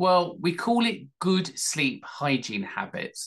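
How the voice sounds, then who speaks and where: Against a quiet background, a man speaks with vocal fry. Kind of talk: educational talk. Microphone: webcam.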